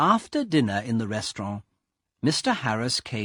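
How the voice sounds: A quiet background sits behind someone reading in a natural voice.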